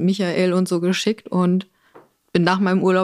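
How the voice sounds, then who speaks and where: A woman with a southern German accent speaks at a medium pitch. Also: very clean recording, silent background. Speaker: production coordinator. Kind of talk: casual chat.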